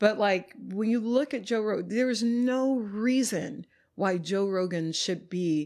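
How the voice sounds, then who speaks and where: An unremarkable speaking voice from a woman with an American accent, at a fairly slow pace, on a very clean recording with a silent background. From Texas, North Dallas. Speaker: yoga teacher and community space co-owner. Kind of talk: casual interview conversation. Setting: at her home, on location.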